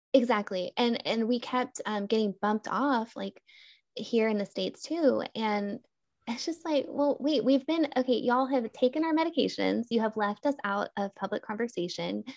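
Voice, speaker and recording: Here is a woman with an unremarkable speaking voice, pitched fairly high, with ordinary pitch variation at a moderate pace. The sound is dry and close with no echo, over a quiet background. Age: 30s. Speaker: therapist with chronic illness. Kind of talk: interview. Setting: video call.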